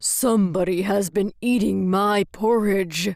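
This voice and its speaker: Growling in a put-on character voice, a woman keeps to a medium pitch. She moves at a fairly slow pace. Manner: gruff.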